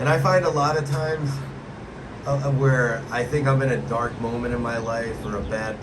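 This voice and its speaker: Amid noticeable background noise, a man with a medium pitch talks at a moderate pace and fairly even intonation. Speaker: podcast host. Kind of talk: interview host talk.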